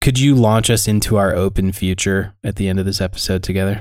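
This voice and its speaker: With an American accent, a man speaks in a plain, everyday voice at a fairly low pitch and fairly quick pace, on a very clean recording with a silent background. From US. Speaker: podcast co-host. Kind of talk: casual roundtable chat about faith. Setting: podcast recording with microphones.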